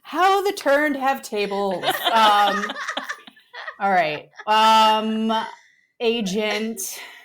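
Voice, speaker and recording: Speaking very slowly with long, frequent pauses, a woman uses a fairly high pitch amid audible room echo. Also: ordinary pitch variation. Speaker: podcast co-host. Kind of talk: casual chat. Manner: loud; animated.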